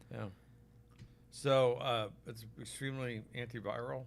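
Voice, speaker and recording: A man with an American accent at a fairly slow pace, with audible room echo. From Oklahoma, US. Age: 60s. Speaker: physician selling supplements. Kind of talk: live stream product talk. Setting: live stream on Facebook and YouTube. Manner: casual, conversational.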